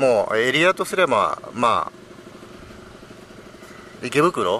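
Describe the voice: A man's bright, sharp tone with big pitch swings at a fairly slow pace, over faint background noise.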